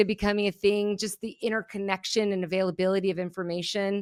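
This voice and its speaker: A woman's medium-pitched, energetic voice on a very clean recording with a silent background. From Germany, moved to US as a child. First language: German. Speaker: keynote speaker and behavioral analyst. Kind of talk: podcast interview.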